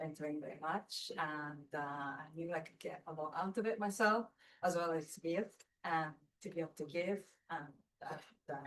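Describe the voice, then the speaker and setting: This woman talks with a Japanese accent at a moderate pace. Her pitch sits fairly low, with ordinary variation. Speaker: architecture writer and mentor. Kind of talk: panel discussion. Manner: halting, many fillers.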